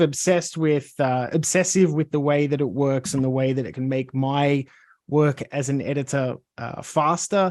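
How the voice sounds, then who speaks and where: A man with an Australian accent, fairly high-pitched, at a moderate pace with ordinary pitch variation, on a very clean recording with a silent background. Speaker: video editor. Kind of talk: self-introduction, presentation.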